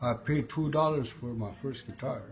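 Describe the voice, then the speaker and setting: A man speaks fairly slowly with ordinary pitch variation. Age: 60s. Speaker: guitar player. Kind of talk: interview answer.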